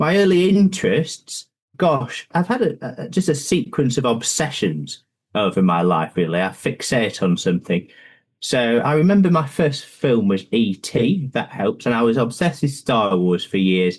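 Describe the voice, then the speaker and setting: Against a quiet background, a man with a northern English accent talks at a moderate pace and medium pitch, with very wide pitch swings and very even loudness. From northern England, Lancashire. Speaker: pension fund investment chief. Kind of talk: podcast interview.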